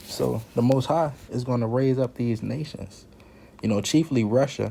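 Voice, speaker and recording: Here is a man with an ordinary speaking voice at medium pitch. He keeps a moderate pace and ordinary pitch variation. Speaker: Bible teacher. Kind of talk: Bible teaching.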